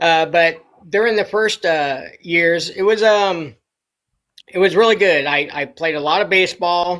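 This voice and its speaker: A man with a bright, sharp tone and a high pitch speaks at a fairly slow pace. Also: ordinary pitch variation. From Los Angeles, California (the Valley). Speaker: interview guest. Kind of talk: casual interview, life story. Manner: halting, many fillers.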